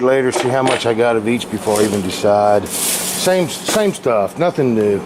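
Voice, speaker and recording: Noticeable background noise behind lively intonation. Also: man. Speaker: channel owner tinkering in a family workshop. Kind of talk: casual vlog monologue. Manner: loud.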